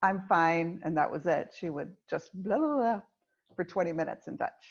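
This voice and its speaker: Lively intonation lifts this woman's unremarkable speaking voice, which holds a medium pitch at a moderate pace. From United States. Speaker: executive coach. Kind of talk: podcast conversation.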